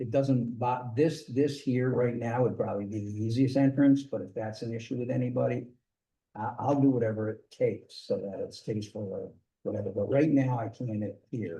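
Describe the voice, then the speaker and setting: With a dark, mellow tone and a somewhat breathy quality, a man speaks at a moderate pace using fairly even intonation. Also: medium pitch for a man. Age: 70s. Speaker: property owner applicant at town board. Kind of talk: public meeting testimony. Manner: halting, many fillers.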